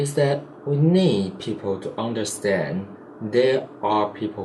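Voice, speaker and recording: A man with a Chinese accent at a fairly slow pace, lively in intonation, amid noticeable background noise and audible room echo. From Taiwan. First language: Mandarin Chinese. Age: 20s. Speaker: vlogger. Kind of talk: casual vlog monologue. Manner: halting, self-correcting.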